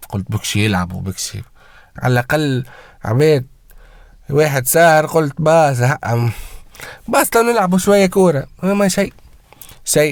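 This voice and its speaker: An animated voice at a fairly slow pace, with very wide pitch swings and long, frequent pauses on a very clean recording with a silent background. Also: man, fairly high pitch for a man. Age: 20s. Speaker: football commentator YouTuber. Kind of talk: casual vlog rant. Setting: home, early morning. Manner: loud.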